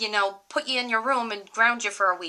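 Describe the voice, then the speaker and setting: A woman with a Rhode Island accent talks at a fairly quick pace in a bright, sharp tone. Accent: occasional Rhode Island. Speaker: college student. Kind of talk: casual talk to camera.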